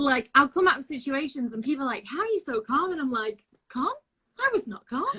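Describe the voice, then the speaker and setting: Raised and projected, a woman's high, bright, sharp voice with a northern English accent moves at a fairly quick pace through very wide pitch swings. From northern England, Blackpool. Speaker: actress and singer. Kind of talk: interview.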